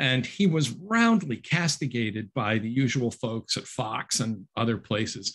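With lively intonation and hardly any pauses, a man speaks at a fairly slow pace against a quiet background. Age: 60s. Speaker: author and instructor; instructor. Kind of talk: book talk. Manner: halting. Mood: conversational, mildly wry. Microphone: webcam.

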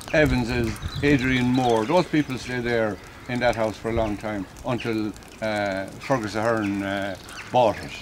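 A man at a fairly slow pace amid noticeable background noise. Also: ordinary pitch variation. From Ireland. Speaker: local resident giving oral history. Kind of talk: oral history narration, casual reminiscing while pointing out local houses. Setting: outdoors, walking around town. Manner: rambling, halting with frequent fillers; reflective, conversational. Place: open country. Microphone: camera far.

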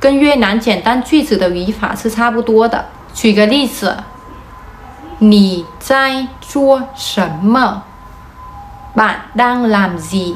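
A woman speaks at a very slow pace with long, frequent pauses and ordinary pitch variation over light background noise. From Vietnam. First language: Vietnamese (speaking Chinese). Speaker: vlogger. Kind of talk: explainer vlog. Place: home room. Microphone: phone near.

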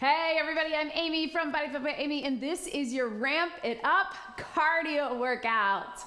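The speaker is a woman. She goes at a moderate pace. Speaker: fitness instructor. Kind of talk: workout instruction. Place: studio.

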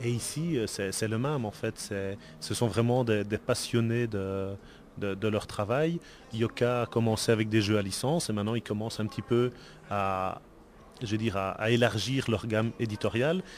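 With a Belgian accent, a man speaks at a moderate pace and medium pitch, with ordinary pitch variation. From Belgium. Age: 40s. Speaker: board game designer. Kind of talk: interview. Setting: convention event.

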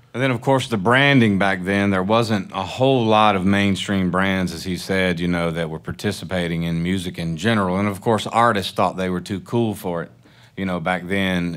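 A man with a Southern US accent speaks at a moderate pace in a very deep, low pitch, with ordinary pitch variation over a quiet background. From Mississippi. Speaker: panel moderator, music industry entrepreneur; panel moderator. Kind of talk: panel presentation. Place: hall. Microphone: podium.

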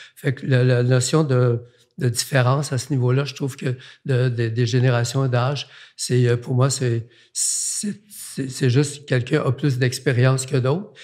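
Against a quiet background, a man speaks at a fairly slow pace. His voice is somewhat breathy, with fairly even intonation. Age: 80s+. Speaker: artist; guest. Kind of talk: casual chat. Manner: halting. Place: studio. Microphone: studio mic.

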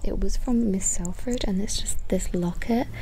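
There is noticeable background noise in this clip. A woman speaks at a moderate pace. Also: dry sound with no echo. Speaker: ASMR creator. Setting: outdoors. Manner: whispered. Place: garden.

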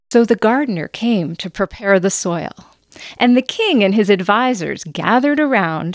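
The speaker is reading aloud in a natural voice. Nothing else is noted.

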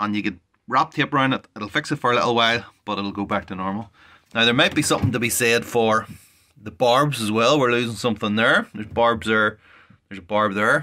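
A man speaks at a fairly quick pace with a bright, sharp tone. His intonation is fairly even, and the background is quiet. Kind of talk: tutorial. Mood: frustrated, exasperated. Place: home room. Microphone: phone near.

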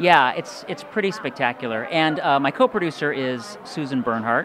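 The pitch swings very widely over noticeable background noise. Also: man. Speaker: actor, writer, producer and announcer. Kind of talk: casual interview. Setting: awards event. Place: hall. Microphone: handheld.

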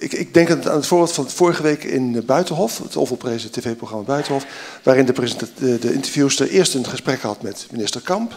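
Fairly quick, lively-intoned speech from a man. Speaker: professor; audience member. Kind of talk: audience question. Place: hall. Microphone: handheld.

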